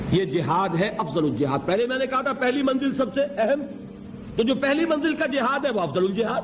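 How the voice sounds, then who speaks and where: A man speaks at an extremely high pitch with very wide pitch swings, over noticeable background noise. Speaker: Islamic scholar giving a religious lecture. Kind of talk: religious sermon / motivational lecture. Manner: rhetorical, emphatic, asks questions of audience.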